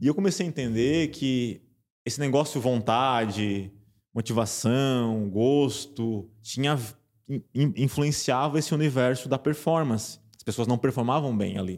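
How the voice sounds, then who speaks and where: A man with a plain, everyday voice at medium pitch, fairly slow pace, ordinary pitch variation and big swings in loudness, in a very clean recording over a silent background. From Santa Catarina, Brazil (small interior town). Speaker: university professor and behavior researcher. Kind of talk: podcast interview.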